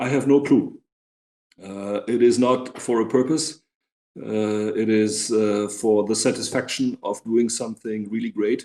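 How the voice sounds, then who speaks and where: A man at a fairly slow pace, with medium pitch and fairly even intonation. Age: 60s. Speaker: bank CEO. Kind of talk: interview. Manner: halting, many fillers.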